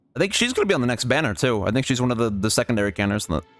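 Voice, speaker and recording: A man at a medium pitch and a very fast pace, with music in the background. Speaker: gaming streamer. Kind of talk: live gameplay commentary. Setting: livestream. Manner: soft-spoken; halting.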